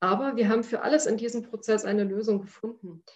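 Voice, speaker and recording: A woman speaks in a fairly high, somewhat breathy voice. Her pace is moderate and her pitch varies in an ordinary way. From Upper Lusatia, eastern Saxony. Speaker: foundation director. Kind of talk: personal storytelling.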